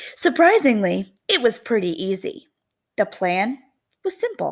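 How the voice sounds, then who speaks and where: A woman's raspy, warm-toned put-on character voice, fairly high in pitch and fairly slow in pace. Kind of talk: classroom read-aloud. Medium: read story. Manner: warm, expressive.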